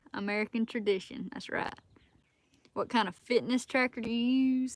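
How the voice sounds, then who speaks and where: A woman speaks with a Southern US accent. Her pace is moderate and her intonation fairly even. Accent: Southern US accent, noticeable. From South Alabama. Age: 20s. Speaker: outdoors hunting and fitness content creator. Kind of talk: live stream chat reading comments.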